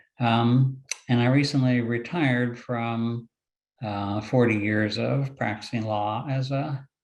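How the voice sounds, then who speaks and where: A man with a plain, everyday voice. He talks at a fairly slow pace, with medium pitch and ordinary pitch variation. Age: 60s. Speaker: retired lawyer, panelist with hemophilia. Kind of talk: personal testimony on webinar panel.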